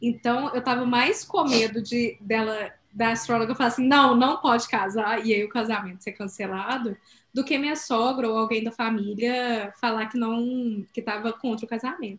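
This is a woman with a plain, everyday voice. Her pitch is fairly high and her pace moderate. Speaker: podcast co-host. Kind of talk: casual chat.

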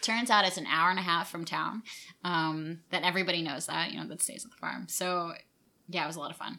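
A woman with an American accent talks at a fairly quick pace in a bright, sharp tone with vocal fry, her fairly low pitch showing ordinary variation and her loudness swinging widely. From New York suburbs. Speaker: tea company founder. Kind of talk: casual interview.

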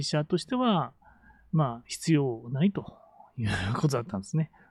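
A somewhat breathy voice with lively intonation. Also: man. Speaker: business coach and podcaster. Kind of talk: solo podcast monologue. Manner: many fillers and hesitations.

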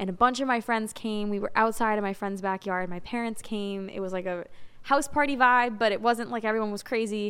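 In a very clean recording with a silent background, a woman with a fairly high voice speaks at a fairly quick pace with fairly even intonation, an ordinary speaking voice. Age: 20s. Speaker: singer-songwriter. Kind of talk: casual interview.

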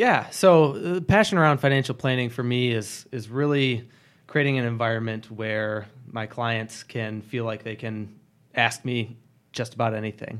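Here a man with an American accent has an unremarkable speaking voice, ordinary pitch variation and a moderate pace. The recording is very clean with a silent background. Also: medium pitch for a man. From Michigan, Grand Rapids area. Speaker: financial advisor. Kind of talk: casual interview.

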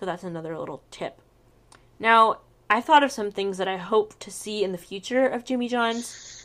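Here is an ordinary speaking voice from a woman with ordinary pitch variation. She talks at a fairly quick pace. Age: 20s. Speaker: podcast co-host. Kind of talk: casual chat.

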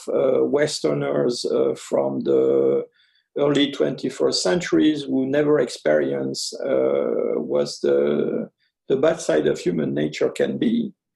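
At a very slow pace, a man speaks with very even loudness. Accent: French. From French Algeria, then France. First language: French. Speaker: anthropologist. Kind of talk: interview. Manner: halting, many fillers.

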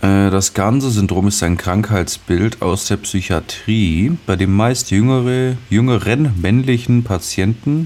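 At a very slow pace, a man speaks with a fairly low voice. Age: 20s. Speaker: podcast co-host. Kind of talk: casual chat with quiz game. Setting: video call.

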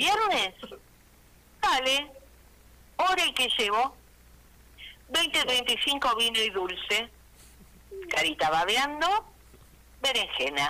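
A woman's high, raised, projected voice in an Argentine accent, at a very slow pace with long, frequent pauses, very wide pitch swings and very even loudness. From Argentina, Reconquista (Santa Fe). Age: 60s. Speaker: comedian. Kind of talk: stand-up.

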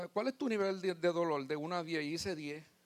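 The voice moves at a fairly quick pace with ordinary pitch variation, in a dry, close sound with no echo. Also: man. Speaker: lay preacher. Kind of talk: testimony.

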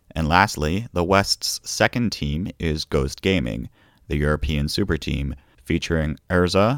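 In a very deep, low voice with vocal fry, a man speaks at a very slow pace with lively intonation, the sound dry and close with no echo. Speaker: podcast host covering competitive Splatoon. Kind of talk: scripted-style solo podcast roundup.

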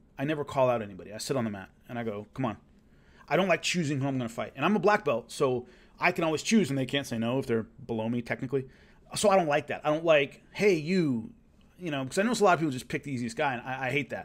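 Talking at a very fast pace with lively intonation, a man with a fairly high pitch and a Southern California accent comes through in a very clean recording with a silent background. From Los Angeles. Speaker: former fighter and martial arts show host. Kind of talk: casual storytelling monologue. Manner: conversational, with fillers and repetitions.

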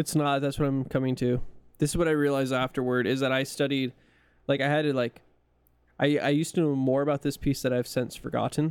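The speech is very fast, with very even loudness and monotone, flat intonation. The recording is very clean with a silent background. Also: man, fairly high pitch for a man. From California. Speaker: podcast co-host. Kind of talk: casual chat.

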